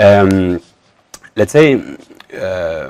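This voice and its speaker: The sound is dry and close with no echo, carrying a French accent. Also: man. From northern France. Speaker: spiritual teacher. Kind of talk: talk to camera. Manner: halting.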